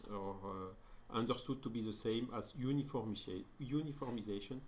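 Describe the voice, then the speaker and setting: A man at medium pitch with a French accent, moderate pace and fairly even intonation, in audible room echo. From France. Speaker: spiritist lecturer. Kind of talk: lecture. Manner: halting, many fillers.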